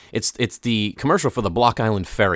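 On a very clean recording with a silent background, a man talks with a fairly low pitch. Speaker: podcast co-host. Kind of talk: casual chat. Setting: studio.

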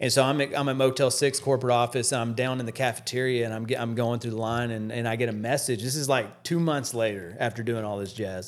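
The speech moves at a very fast pace. There are hardly any pauses. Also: man, medium pitch for a man. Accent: American. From Texas, Dallas area. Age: 40s. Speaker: storage auction reseller and YouTuber. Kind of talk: casual chat. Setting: studio. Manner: animated.

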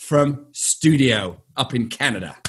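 A man's bright, sharp tone with vocal fry at a very slow pace. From England. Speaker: podcast host and real estate firm owner. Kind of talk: casual interview chat. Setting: video call with guests.

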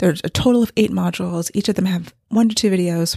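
A woman speaks with a fairly low pitch and a somewhat breathy quality. The recording is very clean, with a silent background and a dry, close sound with no echo. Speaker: fiction author and podcast host. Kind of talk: casual solo podcast monologue.

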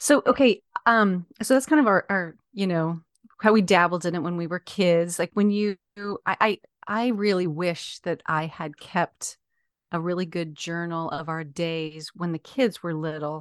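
Recorded dry and close with no echo against a quiet background, a woman speaks at a fairly slow pace in a normal speaking voice with ordinary pitch variation. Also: fairly low pitch for a woman. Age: middle-aged. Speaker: podcast host and blogger. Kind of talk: casual chat.

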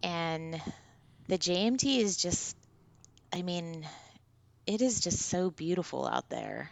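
Pitched fairly low, a woman speaks at a very slow pace with long, frequent pauses. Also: ordinary pitch variation. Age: 50s. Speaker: outdoor trip leader. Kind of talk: interview.

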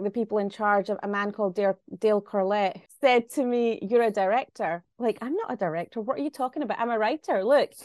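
A woman with a Glaswegian accent, fairly high in pitch with ordinary pitch variation, at a fairly quick pace, dry and close with no echo, over a quiet background. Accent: Glaswegian Scottish. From Glasgow, Scotland. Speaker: writer-director. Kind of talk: interview.

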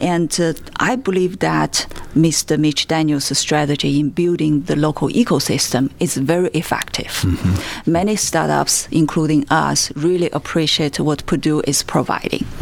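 Over noticeable background noise, a woman with a Chinese accent speaks at a moderate pace in a very deep, low pitch, her loudness very even, her pitch varying in an ordinary way, and her speech hardly pausing. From China. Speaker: startup founder and food scientist. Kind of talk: interview.

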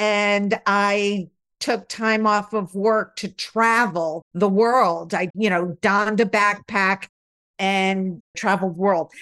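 In an Upstate New York accent, a woman speaks at a medium pitch with fairly even intonation over a quiet background. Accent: Upstate New York American. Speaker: resilience researcher and author. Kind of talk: interview.

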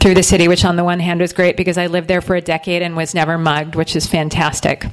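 A woman's fairly low, monotone, flat voice against noticeable background noise. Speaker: writer and teacher interviewer. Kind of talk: onstage interview. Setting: bookstore event.

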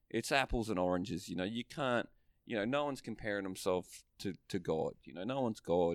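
Speaking with an Australian accent, a man uses a fairly low pitch and lively intonation at a fairly quick pace. The recording is very clean, with a silent background. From northern Australia. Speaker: podcast co-host. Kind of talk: casual chat. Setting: video recording.

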